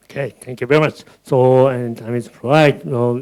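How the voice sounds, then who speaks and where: The man's voice is pitched in the medium range and varies in an ordinary way. He speaks at a fairly slow pace. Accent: Japanese. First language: Japanese. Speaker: moderator. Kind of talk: moderating a panel talk.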